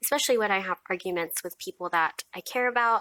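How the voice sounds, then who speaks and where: A woman's bright, sharp voice with an American accent, at a moderate pace with ordinary pitch variation, dry and close with no echo, on a very clean recording with a silent background. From US, Filipino American. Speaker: mental health vlogger. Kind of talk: personal testimony vlog.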